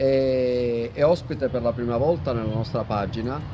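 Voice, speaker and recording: A man speaks at a very slow pace. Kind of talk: interview host introduction.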